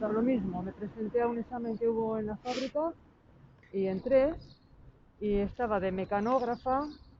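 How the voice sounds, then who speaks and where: Amid noticeable background noise, a woman with a fairly high pitch and ordinary pitch variation speaks with long, frequent pauses. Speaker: retired factory worker. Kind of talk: testimony.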